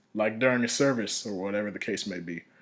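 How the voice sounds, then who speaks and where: A man is speaking. He goes at a very fast pace. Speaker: music production tutorial creator. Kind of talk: tutorial. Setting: screen recording.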